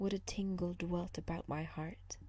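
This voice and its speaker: The speaker is soft-spoken with a gentle tone. The pace is fairly slow. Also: woman. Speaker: ASMR reader. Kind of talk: sleep story, fairy tale reading. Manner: soft-spoken, gentle, relaxing.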